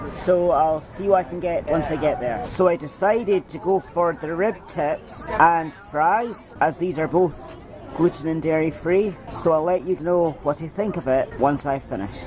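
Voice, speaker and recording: A man's high voice at a moderate pace, with ordinary pitch variation and noticeable background noise. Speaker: wheelchair-using vlogger. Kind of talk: casual vlog talk to camera.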